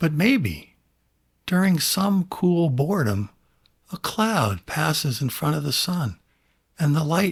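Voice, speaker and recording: On a very clean recording with a silent background, a man with a high pitch and lively intonation talks at a fairly slow pace. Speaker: podcast host. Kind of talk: reflective monologue. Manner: long pauses.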